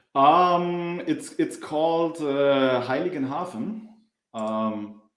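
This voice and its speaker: In a room with audible echo, a man with a German accent speaks very slowly at a fairly high pitch, his intonation lively. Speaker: livestream co-host. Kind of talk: casual live Q&A chat. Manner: halting.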